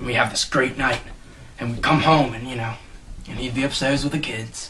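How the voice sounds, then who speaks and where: A man's put-on character voice, raspy and medium-pitched, in a monotone, flat intonation at a fairly quick pace over clear background noise. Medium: comedy sketch. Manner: hesitant, rambling.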